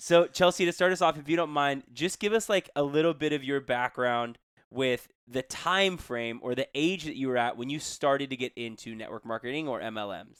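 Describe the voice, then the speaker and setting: A man with an unremarkable speaking voice, fairly high in pitch with lively intonation, at a fairly quick pace, on a very clean, dry, close recording with no echo and a silent background. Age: young. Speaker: podcast co-host, teacher. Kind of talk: casual podcast interview.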